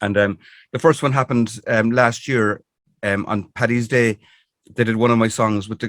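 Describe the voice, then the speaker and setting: Recorded very cleanly with a silent background and a dry, close sound with no echo, a man with a Cork accent speaks at a medium pitch and moderate pace with fairly even intonation. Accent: Irish (Cork). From Ireland. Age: 60s. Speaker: singer-songwriter. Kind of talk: interview. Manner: halting, many fillers.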